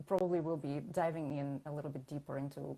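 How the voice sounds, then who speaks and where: A woman speaks with a Russian accent in a very deep, low voice. Her tone is dark and mellow, and her intonation fairly even. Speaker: branding consultant and designer. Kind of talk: interview.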